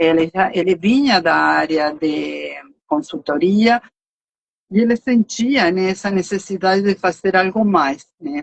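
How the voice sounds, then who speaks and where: A woman's medium-pitched voice in a Uruguayan accent, with lively intonation and a fairly slow pace. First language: Spanish (speaking Portuguese). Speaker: nonprofit finance director. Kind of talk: live stream interview.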